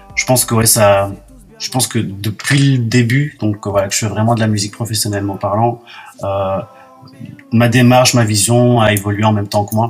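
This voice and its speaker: There is noticeable background noise behind a man talking at a moderate pace with long, frequent pauses. His fairly low voice stays monotone and flat. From Belgium. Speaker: singer-songwriter. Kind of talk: radio interview. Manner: hesitant, many fillers.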